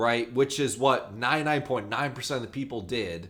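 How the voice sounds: Natural reading voice, nothing more.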